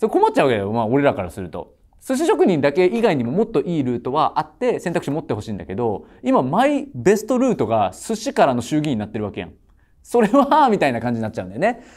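With vocal fry and very wide pitch swings, a man talks at a very fast pace. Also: big swings in loudness, quiet background. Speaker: tutoring school owner on judging panel. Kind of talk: panel critique. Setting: studio panel. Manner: casual, reflective. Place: studio. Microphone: lapel.

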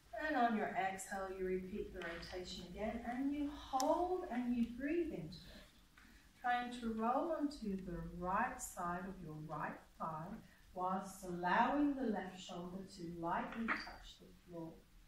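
A woman speaks at a fairly slow pace in a calm, soothing tone with lively intonation and big swings in loudness, over light background noise and audible room echo. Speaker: yoga teacher. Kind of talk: guided yoga class with meditation and visualization. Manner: calm, slow, soothing, instructive; gentle and unhurried, with pauses. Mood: calm, soothing, slow. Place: hall.

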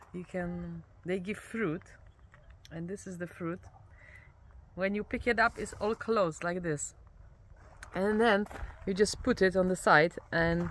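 Slowish and with fairly even intonation, a woman speaks with long, frequent pauses, the sound dry with no echo and some light background noise. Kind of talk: casual vlog chat. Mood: curious, cheerful. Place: open country.

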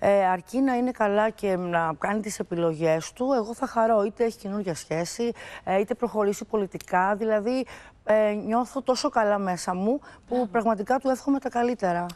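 The speaker talks at a moderate pace. The pitch varies in an ordinary way. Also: woman, fairly high pitch for a woman. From Greece. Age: 50s. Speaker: TV guest discussing her divorce; TV guest. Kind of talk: talk show interview. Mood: reflective, personal, calm. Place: studio. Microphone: lapel.

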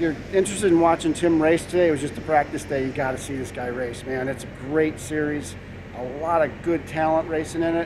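Through noticeable background noise, a man speaks at a fairly quick pace in a fairly high pitch with fairly even intonation. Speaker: off-road vehicle video host. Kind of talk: casual on-location interviews. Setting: outdoors at a racing facility. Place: open country. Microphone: phone near.

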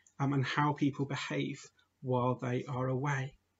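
A somewhat breathy male voice at a moderate pace. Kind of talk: children's talk or homily. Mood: warm, friendly. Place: home room. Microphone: webcam.

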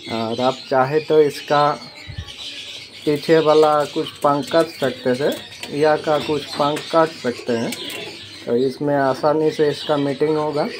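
Slow speech with fairly even intonation over faint background noise. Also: man, fairly high pitch for a man.

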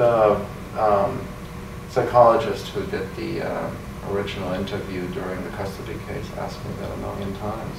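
There is noticeable background noise as a man speaks with long, frequent pauses. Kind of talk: interview answer. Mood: evasive, hesitant. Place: meeting room. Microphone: camera far.

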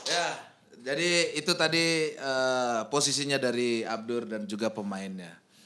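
Against light background noise, a man speaks at a fairly slow pace with lively intonation and a bright, sharp tone. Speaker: podcast host. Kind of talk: casual chat; podcast conversation. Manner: playful. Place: studio. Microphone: studio mic.

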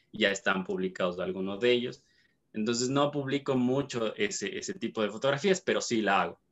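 Very wide pitch swings at a fairly quick pace. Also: man, medium pitch for a man. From Ecuador, Cuenca. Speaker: dentist and photographer. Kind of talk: interview. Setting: video call. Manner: halting, many fillers and repetitions. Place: home room. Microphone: video call.

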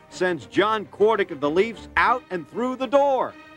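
With faint music in the background, a man talks fairly slowly at a high pitch and with ordinary pitch variation. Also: dry sound with no echo. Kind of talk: sports highlight commentary.

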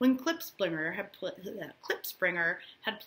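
The speaker uses a natural reading voice. Nothing else is noted.

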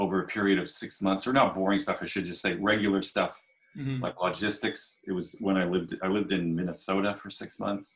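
Fairly even intonation marks this man's fairly low voice. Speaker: guest. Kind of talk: interview answer. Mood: relaxed, reflective. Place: home room. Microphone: video call.

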